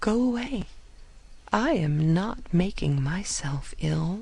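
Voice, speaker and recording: A quiet, put-on character voice speaks at a middle pitch. The pace is very slow. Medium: read story. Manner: quiet, under her breath.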